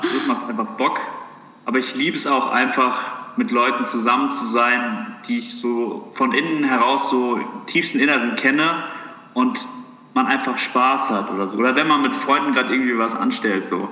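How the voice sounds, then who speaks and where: A man's moderately paced speech carries audible room echo, with noticeable background noise behind it. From Germany, southern Hesse (Heppenheim near Darmstadt). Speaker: medical student. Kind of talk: casual interview chat.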